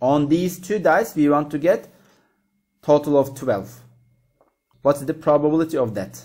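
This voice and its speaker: With a dark, mellow tone and a fairly high pitch, a man talks at a moderate pace with ordinary pitch variation and long, frequent pauses. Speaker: maths teacher. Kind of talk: tutorial.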